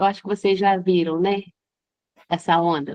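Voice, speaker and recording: A woman at a fairly slow pace. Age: 60s. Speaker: teacher, workshop participant. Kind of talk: audience question in online workshop. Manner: halting.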